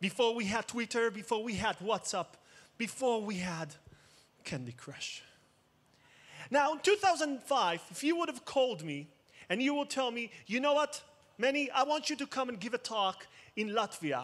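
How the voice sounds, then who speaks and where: An animated tone and lively intonation carry this voice with an Israeli accent at a moderate pace, broken by long, frequent pauses. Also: man, extremely high pitch for a man. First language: Hebrew. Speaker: cybersecurity expert, conference speaker. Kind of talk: conference talk. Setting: stage with audience.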